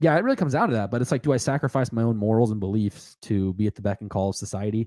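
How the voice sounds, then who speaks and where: In a dark, mellow tone, a man talks at a very fast pace with ordinary pitch variation, the sound dry and close with no echo. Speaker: podcast host. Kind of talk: casual chat. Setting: live stream. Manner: loud.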